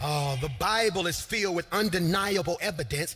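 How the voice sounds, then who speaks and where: Over music in the background, a man with a high pitch speaks in an energetic tone at a fairly quick pace with lively intonation. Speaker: preacher / pastor. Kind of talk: sermon delivered to a live congregation. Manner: energetic, emphatic, call-and-response preaching style.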